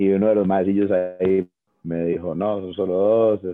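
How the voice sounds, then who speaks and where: The man's pitch is very deep and low, his intonation monotone and flat. He speaks at a fairly slow pace. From Costa Rica, Tres Ríos. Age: 40s. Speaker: former basketball player and commentator. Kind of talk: casual interview chat.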